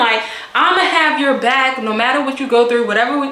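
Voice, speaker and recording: Against noticeable background noise and audible room echo, a woman speaks at a high pitch with ordinary pitch variation. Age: 20s. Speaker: beauty and storytime vlogger. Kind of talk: casual storytime monologue. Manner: animated.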